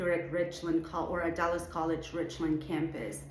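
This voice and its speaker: With a Venezuelan accent, a woman speaks at a fairly low pitch amid audible room echo. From Venezuela, Caracas. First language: Spanish. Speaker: artist and art educator, show juror. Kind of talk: recorded address to students.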